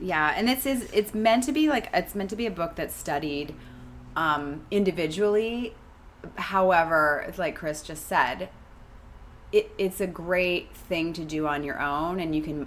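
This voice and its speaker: Ordinary pitch variation runs through an unremarkable speaking voice delivered at a fairly slow pace. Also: woman. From Canada. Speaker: podcast co-host. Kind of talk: casual chat.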